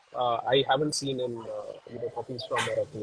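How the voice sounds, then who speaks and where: Noticeable background noise sits behind a soft-spoken man. He talks at a fairly quick pace with an Indian accent. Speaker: co-founder of coffee farming foundation. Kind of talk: live interview. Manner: hesitant, many fillers.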